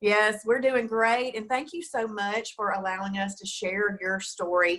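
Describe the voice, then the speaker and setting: This woman has an ordinary speaking voice with a fairly high pitch, ordinary pitch variation, and a fairly slow pace. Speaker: diet program host. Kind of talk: interview host, casual talk. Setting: studio.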